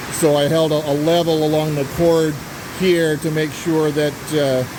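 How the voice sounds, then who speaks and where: The pace is fairly slow. Noticeable background noise can be heard. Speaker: amateur aircraft builder. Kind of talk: casual build log narration. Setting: workshop with metal roof. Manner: hesitant, many fillers; talking loud.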